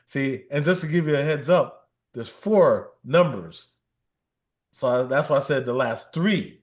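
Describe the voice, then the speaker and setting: A man with a plain, everyday voice talks at a fairly high pitch with ordinary pitch variation over a quiet background. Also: fairly slow pace. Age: 60s. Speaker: livestream host. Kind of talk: casual chat.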